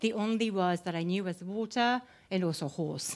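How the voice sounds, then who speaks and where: A woman is speaking. She has a Japanese accent. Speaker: panel speaker. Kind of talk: panel discussion. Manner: hesitant, many fillers.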